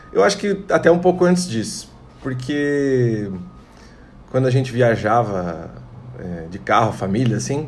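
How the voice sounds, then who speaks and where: With audible room echo, a man talks fairly slowly at medium pitch, taking long, frequent pauses. His pitch swings very widely. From Santa Catarina, Brazil (Tangará). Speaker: singer-songwriter and multi-instrumentalist. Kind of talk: casual interview chat.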